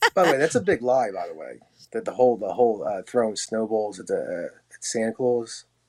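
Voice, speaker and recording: Talking at a fairly quick pace with an American accent, a man shows big swings in loudness. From US Northeast, Philadelphia. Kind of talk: casual chat. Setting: video call.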